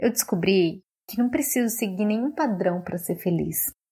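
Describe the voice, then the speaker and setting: A somewhat breathy woman's voice with lively intonation. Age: 30s. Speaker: journalist. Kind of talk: recorded testimony.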